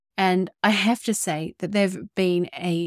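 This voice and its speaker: A woman's fairly low, flat, monotone voice with a New Zealand accent, on a very clean recording with a silent background. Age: 30s. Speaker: podcast host. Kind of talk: scripted podcast intro and solo talk.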